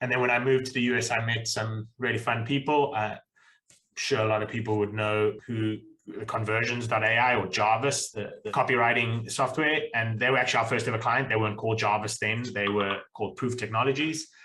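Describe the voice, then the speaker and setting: A South African accent comes through at a fairly quick pace, the tone bright and sharp and the intonation fairly even. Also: man, medium pitch for a man. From South Africa (Pretoria, Cape Town). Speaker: accountant, accounting firm owner. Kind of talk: podcast interview.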